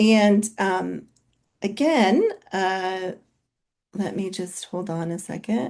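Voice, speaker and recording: A woman with an American accent speaks at a very slow pace and medium pitch, with ordinary pitch variation. She pauses often and at length. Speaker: physician and company co-founder. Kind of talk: webinar presentation. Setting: video call webinar. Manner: loud.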